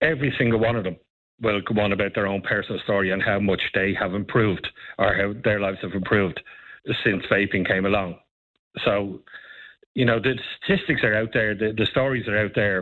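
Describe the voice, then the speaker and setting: Talking at a fairly quick pace yet with long, frequent pauses, a man with an Irish accent keeps a fairly even intonation and a fairly low pitch. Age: 50s. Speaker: advocacy group spokesperson. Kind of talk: radio interview.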